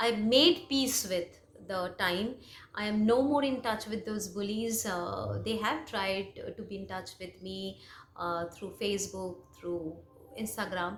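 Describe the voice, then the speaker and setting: Audible room echo surrounds a woman speaking in a Bengali accent. Her medium pitch shows ordinary variation at a fairly slow pace. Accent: Indian English, Bengali. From India, West Bengal. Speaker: English teacher, YouTuber. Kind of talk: personal story monologue. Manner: hesitant, many fillers.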